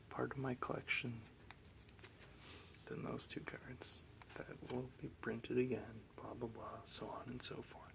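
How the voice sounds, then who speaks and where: Someone is whispering at a fairly slow pace. Long, frequent pauses break up the speech. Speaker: Magic card collector. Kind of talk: ASMR card collection show and tell. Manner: soft-spoken.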